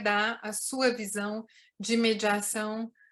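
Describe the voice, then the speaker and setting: A woman speaks at a fairly high pitch in a monotone, flat intonation. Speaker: event moderator and interpreter. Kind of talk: consecutive interpreting and moderating an online meeting.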